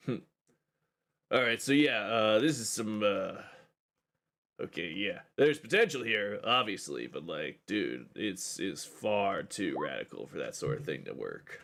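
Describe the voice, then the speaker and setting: A man drawls in a put-on character voice at a medium pitch. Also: moderate pace. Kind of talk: surfer-dude caricature. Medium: actual play. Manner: casual surfer slang, drawling, dude-speak.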